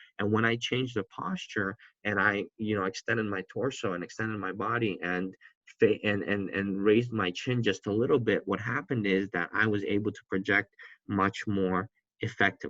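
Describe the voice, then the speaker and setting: A man speaks in a fairly low voice with a bright, sharp tone. His intonation stays fairly even, and the sound is dry and close with no echo. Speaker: college instructor. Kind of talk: lecture. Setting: recorded lecture, seated. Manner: fast.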